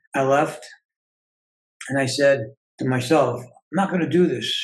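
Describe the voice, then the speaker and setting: A man talks at a medium pitch with ordinary pitch variation, sounding somewhat breathy. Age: 60s. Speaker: self-healing coach and author. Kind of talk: interview.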